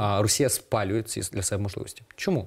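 A somewhat breathy man at a very fast pace over a quiet background. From eastern Ukraine, Donetsk region (Horlivka); Donetsk region, Ukraine. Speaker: political analyst. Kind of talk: TV interview. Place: studio. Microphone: lapel.

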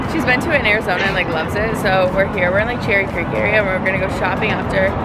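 Over music in the background, a woman speaks at a very fast pace with ordinary pitch variation in a dry sound with no echo. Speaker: vlogger. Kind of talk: casual vlog chat. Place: street. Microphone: phone near.

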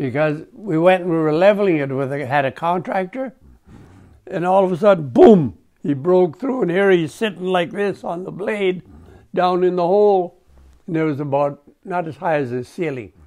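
A man speaks high for a man, with a dark, mellow tone. The background is quiet. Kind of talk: interview answer, storytelling. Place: home room.

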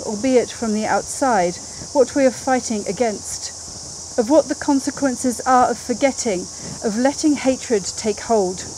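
This woman has a high pitch and ordinary pitch variation. There is light background noise. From Jersey, Channel Islands. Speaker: politician. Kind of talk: memorial speech. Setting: outdoors. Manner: formal. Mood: solemn, earnest. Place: garden. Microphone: podium.

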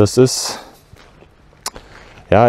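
In a dry sound with no echo, a man speaks at a very slow pace in a dark, mellow tone. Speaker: history explorer vlogger. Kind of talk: casual vlog commentary. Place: open country. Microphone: lapel.

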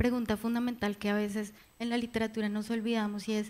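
A woman speaks at a moderate pace. Her pitch is fairly high. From Colombia. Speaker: novelist; panel author. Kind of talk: literary panel discussion. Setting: library event with audience. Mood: thoughtful, serious. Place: hall. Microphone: handheld.

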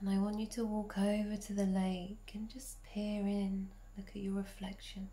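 A woman talks in a soothing, calm tone at a medium pitch, her intonation monotone and flat. Noticeable background noise is present. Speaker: medicine woman and ancestral healer. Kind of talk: guided meditation. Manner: slow, soothing, calm and gentle; soft-spoken, dreamy, unhurried with long pauses.

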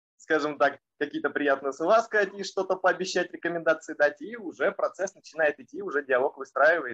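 A man's high-pitched voice at a moderate pace. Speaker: online course mentor. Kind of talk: testimony. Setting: video call. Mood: relaxed, anecdotal. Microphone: video call.

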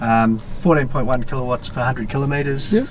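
A man talks over noticeable background noise. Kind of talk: casual explanation of controls. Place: car.

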